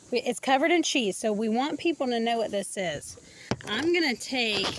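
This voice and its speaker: There is noticeable background noise behind a dry sound with no echo. A woman speaks at a high pitch. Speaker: cooking vlogger. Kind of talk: cooking tutorial. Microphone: phone near.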